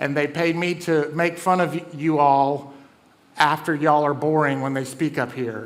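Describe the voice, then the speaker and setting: A man in a Southern US accent, fairly high-pitched, with fairly even intonation and audible room echo. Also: moderate pace. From US South. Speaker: comedian and event host. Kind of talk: stand-up hosting. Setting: stage with audience.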